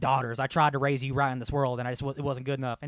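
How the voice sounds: Putting on a character voice, a man rattles along at a very fast pace, gravelly and medium-pitched, his intonation monotone and flat.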